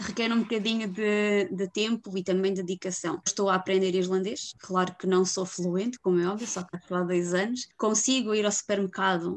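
At a moderate pace, a woman with a European Portuguese accent speaks at a medium pitch with fairly even intonation. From Portugal, Viseu. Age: 20s. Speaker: expat living in Iceland, former travel agent. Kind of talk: casual interview.

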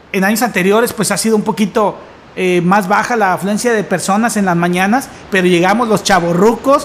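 A high-pitched man's voice with very even loudness over noticeable background noise. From Mexico, Tampico area. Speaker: podcast host. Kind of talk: casual chat.

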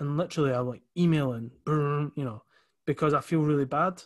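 A man talks with an Edinburgh accent and ordinary pitch variation. The background is quiet. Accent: Edinburgh Scottish. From Scotland, Leith (Edinburgh). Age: 30s. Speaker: entrepreneur. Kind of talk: casual interview chat.

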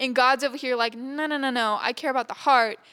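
A woman with an American accent speaks at a high pitch in a bright, sharp tone with fairly even intonation, captured in a very clean recording with a silent background. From Texas. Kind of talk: casual chat.

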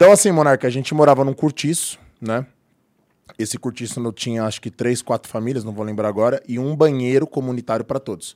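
A man talks at a very fast pace and a medium pitch, with ordinary pitch variation. The sound is dry and close, with no echo. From Brazil, São Paulo metro area. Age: 40s. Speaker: personal trainer and former rapper. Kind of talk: casual interview chat.

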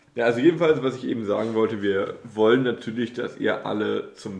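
A man's voice with vocal fry at a moderate pace. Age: 20s. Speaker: podcast co-host, university student. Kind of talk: casual chat.

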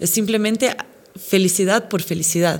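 A woman speaks at a medium pitch with a slight Brazilian accent. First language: Portuguese (speaking Spanish). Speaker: actress and presenter. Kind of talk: casual interview.

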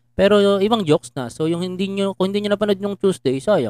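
This man talks at a very fast pace in a high voice with a dark, mellow tone. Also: dry, close sound with no echo. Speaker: podcast host and stand-up comedian. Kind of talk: casual chat.

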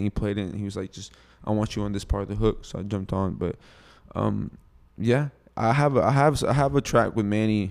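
On a very clean recording with a silent background, a man with a fairly low voice talks at a very fast pace with ordinary pitch variation. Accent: Houston. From US Texas. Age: 20s. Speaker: rapper. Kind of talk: casual interview chat. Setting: studio.

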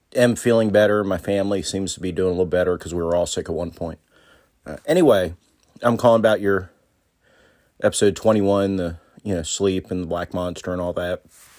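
Talking at a fairly quick pace, a man uses a very deep, low pitch and an American accent. He leaves long, frequent pauses. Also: fairly even intonation. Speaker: listener leaving a voicemail. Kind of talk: voicemail message. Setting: recorded voice message.

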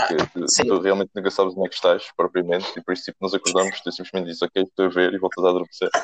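A man talks at a very fast pace in a very deep, low voice, the sound dry and close with no echo. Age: young. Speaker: podcast co-host. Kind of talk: casual chat.

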